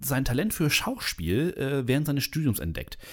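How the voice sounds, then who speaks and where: The recording is very clean, with a silent background. A man speaks at a moderate pace, his medium pitch swinging very widely. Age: 30s. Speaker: podcast host. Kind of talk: casual chat.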